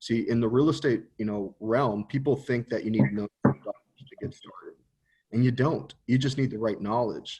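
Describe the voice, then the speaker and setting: A man with a somewhat breathy voice at medium pitch speaks at a fairly quick pace, with ordinary pitch variation. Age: 30s. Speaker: entrepreneur. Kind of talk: casual interview.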